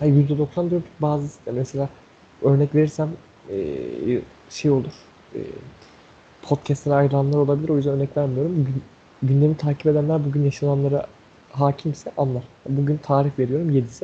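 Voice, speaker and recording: A man's somewhat breathy, dark and mellow voice sits at a fairly high pitch, delivered in a monotone, flat way with long, frequent pauses. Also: moderate pace. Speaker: podcast co-host. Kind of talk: casual chat.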